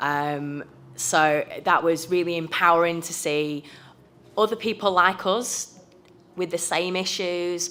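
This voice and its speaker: A woman's fairly low-pitched voice with a British accent, a bright, sharp tone, fairly even intonation and a very slow pace. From United Kingdom. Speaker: trade union youth member. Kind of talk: conference presentation.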